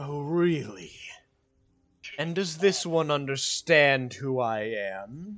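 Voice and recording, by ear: A man's booming, put-on character voice at a fairly high pitch, with lively intonation and a very slow pace.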